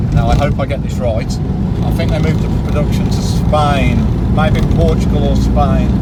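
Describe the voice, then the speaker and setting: Moderate pace and monotone, flat intonation, with audible room echo and noticeable background noise. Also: man, very deep, low pitch for a man. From Birmingham, England. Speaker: classic car owner, YouTuber. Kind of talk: casual interview chat. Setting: in a car, engine noise.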